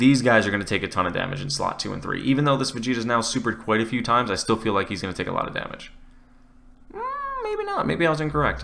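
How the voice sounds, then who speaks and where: A man mumbles at a very fast pace in a medium pitch. His tone is bright and sharp, with ordinary pitch variation. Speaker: gaming YouTuber. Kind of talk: gameplay commentary. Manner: mumbling; casual, conversational.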